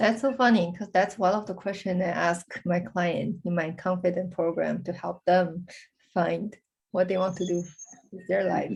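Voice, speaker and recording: There is vocal fry in this woman's medium-pitched voice. She speaks at a moderate pace with fairly even intonation. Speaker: career coach. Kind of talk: casual interview chat.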